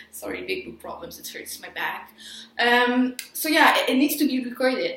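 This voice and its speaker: Her loudness swings widely as a woman speaks at a moderate pace. The background noise is noticeable. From Quebec, Montreal. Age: 20s. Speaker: sound engineering student. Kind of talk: casual vlog. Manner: halting.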